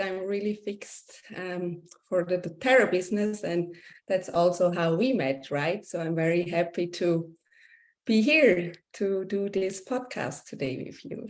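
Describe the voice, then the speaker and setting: A Swiss accent at a fairly slow pace, with big swings in loudness. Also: woman. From Switzerland. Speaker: essential oils business leader, yoga teacher. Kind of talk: interview.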